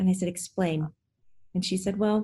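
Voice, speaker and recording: At a moderate pace, a woman speaks in a dark, mellow, somewhat breathy tone, with medium pitch and fairly even intonation. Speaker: podcast host and medium. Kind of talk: interview conversation.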